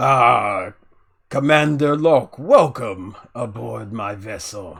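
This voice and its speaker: At a very slow pace, a man uses a put-on character voice at a medium pitch. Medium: actual play. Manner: warm, confident, amused.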